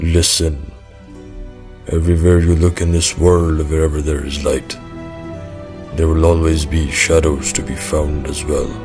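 Over clear music in the background, a man uses a put-on character voice, very deep and low in pitch, with monotone, flat intonation. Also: moderate pace. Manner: grave, brooding monologue.

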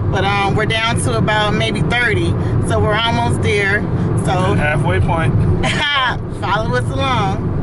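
Amid loud background noise, a man talks at a fairly slow pace with ordinary pitch variation. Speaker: travel vlogger. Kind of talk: casual vlog chat. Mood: cheerful, laughing. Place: car. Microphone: phone near.

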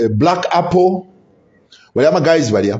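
There is a man talking. Little can be heard behind him. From Zambia. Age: 50s. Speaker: political commentator, YouTuber; political commentator. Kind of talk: solo vlog commentary. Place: home room.

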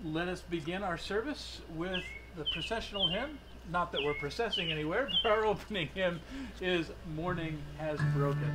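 A man with ordinary pitch variation and music in the background. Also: moderate pace. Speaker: minister leading a service. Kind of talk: service welcome remarks. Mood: warm, lightly humorous. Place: garden. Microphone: camera far.

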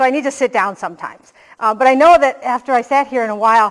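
The background is quiet. A woman speaks with ordinary pitch variation. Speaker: keynote speaker. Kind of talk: conference keynote talk. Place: stage.

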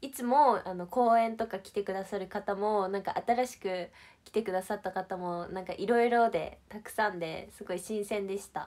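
With a cheerful, animated tone, a woman talks at a moderate pace with hardly any pauses. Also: big swings in loudness. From Shizuoka, Japan. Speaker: idol livestreamer. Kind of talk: casual livestream chat with viewers. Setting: online livestream. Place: empty room. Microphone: phone near.

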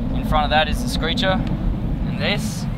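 Loud background noise surrounds a man talking at a moderate pace in a dry sound with no echo. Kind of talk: tutorial. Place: boat. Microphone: phone near.

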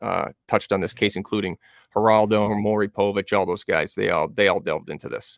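A man with an American accent talks at a very fast pace in a fairly low voice with fairly even intonation. The sound is dry with no echo, and the background is quiet. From Massachusetts, New Bedford area. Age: 40s. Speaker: true crime researcher. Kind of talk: casual interview. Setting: video call. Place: home room. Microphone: studio mic.

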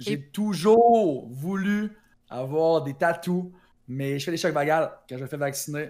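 Speaking very slowly in a Quebec accent, a man uses a fairly high pitch and a dark, mellow tone over a quiet background. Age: 20s. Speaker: Twitch streamer; interviewee. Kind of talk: interview. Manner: energetic. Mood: relaxed, animated storytelling. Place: home room. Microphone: new microphone; studio mic.

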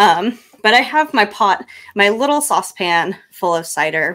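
A woman's bright, sharp tone at a fairly slow pace with lively intonation. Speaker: cocktail tutorial presenter; presenter. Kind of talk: tutorial. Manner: hesitant, many ums. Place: home room. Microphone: studio mic.

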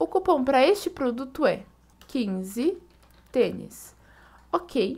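Speaking with a Brazilian accent, this voice swings very widely in pitch and leaves long, frequent pauses. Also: woman, high pitch for a woman. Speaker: coupon and deals channel host. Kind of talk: online shopping tutorial and sales pitch, screen-share walkthrough. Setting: screen recording voiceover. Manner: upbeat, enthusiastic pitchman pushing deals, fluent and fast-paced; friendly, casual, step-by-step explanatory.

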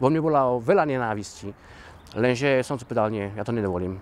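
A man at a fairly quick pace with ordinary pitch variation, dry sound and no echo. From Slovakia, Orava region; Slovakia. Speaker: dancer and theatre organiser. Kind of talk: interview. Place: open country. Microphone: lapel.

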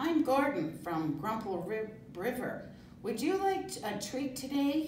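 A female-sounding put-on character voice, high-pitched, swings very widely in pitch at a fairly slow pace. A slight echo is present. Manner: friendly, offering a treat.

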